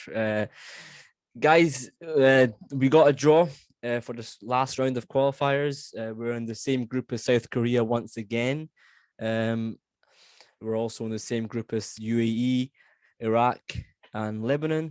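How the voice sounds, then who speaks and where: With a Scottish accent, the speaker goes at a fairly slow pace with fairly even intonation and long, frequent pauses on a very clean recording with a silent background. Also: man, medium pitch for a man. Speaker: football podcast host. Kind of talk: casual chat. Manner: hesitant with many fillers.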